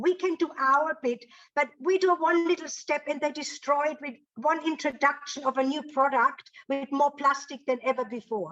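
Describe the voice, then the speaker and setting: A woman speaks with a German accent at a moderate pace. Her pitch is high and her tone is bright and sharp. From Germany. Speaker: audience member. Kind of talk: casual group discussion.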